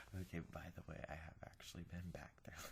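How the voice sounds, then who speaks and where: A man whispering. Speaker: ASMR whisper video creator. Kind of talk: reading a restaurant review aloud. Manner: quiet, conversational.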